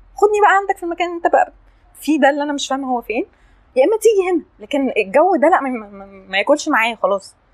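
A woman talks very fast in an animated, high voice with very wide pitch swings. The sound is dry and close, without echo. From Egypt (Upper Egypt, Assiut). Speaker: podcast guest sharing life story. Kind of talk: casual interview, personal testimony.

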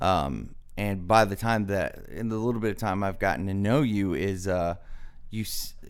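In an American accent, the speaker talks at a moderate pace with ordinary pitch variation and audible room echo. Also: man. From US South. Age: 20s. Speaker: podcast host. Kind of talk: interview.

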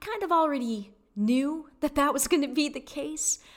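With an American accent, a woman speaks at a moderate pace in a high pitch with lively intonation. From US Midwest, Detroit area, Michigan. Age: 40s. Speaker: podcast host, spiritual guide. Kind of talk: solo monologue podcast. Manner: casual, conversational.

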